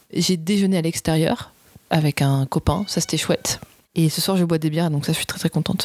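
A plain, everyday voice from a woman, pitched fairly low. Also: fairly even intonation, fairly quick pace, dry, close sound with no echo. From southern France. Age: 30s. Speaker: TV documentary director. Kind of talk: casual interview.

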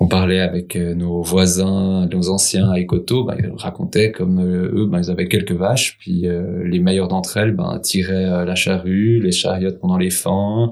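A man's very deep, low voice, monotone and flat in intonation, at a fairly slow pace. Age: 40s. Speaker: market gardener. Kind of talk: casual chat.

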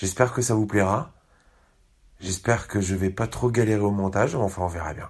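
The speaker sounds somewhat breathy, with ordinary pitch variation. Long pauses come often. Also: man, fairly low pitch for a man, moderate pace. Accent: Parisian. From Paris. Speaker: podcast host. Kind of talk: casual podcast narration.

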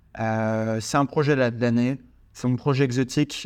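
An unremarkable speaking voice with fairly even intonation. The recording is very clean, with a silent background. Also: man. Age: 20s. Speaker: podcast host and real estate investor. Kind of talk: solo podcast monologue. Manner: casual, with many fillers.

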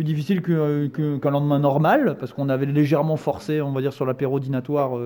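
A man with a fairly high pitch talks at a fairly quick pace in an ordinary speaking voice. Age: 20s. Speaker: football fan, podcast regular. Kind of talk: casual chat.

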